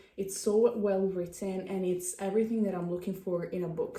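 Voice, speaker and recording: A woman speaks at a moderate pace in a medium pitch, her dark, mellow tone somewhat breathy and her intonation fairly even, with audible room echo. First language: not English. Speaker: vlogger. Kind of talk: casual chat. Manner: halting.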